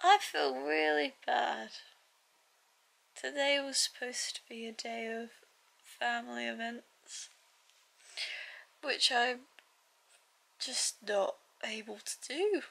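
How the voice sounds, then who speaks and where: Long, frequent pauses mark a woman's very slow delivery. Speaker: vlogger. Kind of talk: casual vlog chat. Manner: weak, drowsy voice of a sick person. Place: home room. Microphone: phone near.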